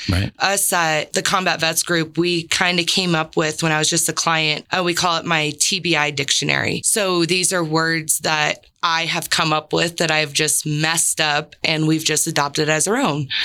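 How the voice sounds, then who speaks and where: Noticeable background noise sits behind a woman with an American accent and a very deep, low pitch. She talks at a moderate pace with hardly any pauses, very even loudness, and fairly even intonation. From San Diego, California. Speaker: army veteran and veteran mentor. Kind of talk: interview.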